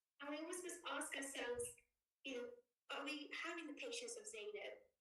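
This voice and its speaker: A woman's high-pitched voice is raised and projected, with a bright, sharp tone and very wide pitch swings. Audible room echo surrounds her. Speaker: student speaker. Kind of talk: speech. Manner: fast.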